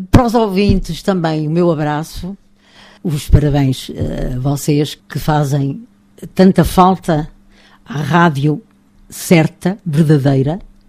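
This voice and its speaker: A woman speaks at a very slow pace with a very deep, low pitch, a dark, mellow tone, ordinary pitch variation, and long, frequent pauses. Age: 80s+. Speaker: retired radio and TV presenter. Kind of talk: casual interview. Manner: animated, laughing.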